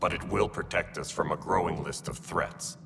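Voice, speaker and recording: A man speaks in a put-on character voice at a moderate pace. Clear background noise runs behind him. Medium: video game.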